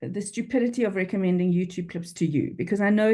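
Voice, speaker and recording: A woman's dark, mellow voice in a Durban accent at a fairly quick pace. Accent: South African, flat Durban vowels. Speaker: freelance copywriter. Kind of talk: interview. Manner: animated.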